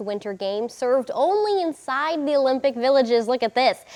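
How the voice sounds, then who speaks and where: A woman's high voice at a fairly quick pace over noticeable background noise. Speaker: TV news anchor and reporter. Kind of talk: TV news reporting.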